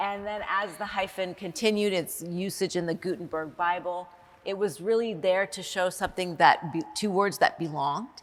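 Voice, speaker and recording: A woman's medium-pitched voice with an American accent, ordinary pitch variation and a moderate pace, against noticeable background noise. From United States, Iranian family. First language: Farsi. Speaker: anthropology professor, dean. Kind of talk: academic seminar conversation. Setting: on stage at a university seminar.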